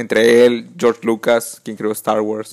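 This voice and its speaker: This is a man with a Mexican accent. His pitch is medium. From Mexico. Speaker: podcast host. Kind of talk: casual chat.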